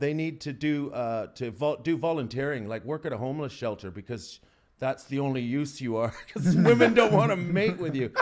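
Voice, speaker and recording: Fairly high in pitch, a man with an Albertan accent talks at a fairly quick pace in an animated tone with lively intonation. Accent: Albertan Canadian. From Canada, Alberta. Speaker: comedian. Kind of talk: podcast interview, casual chat.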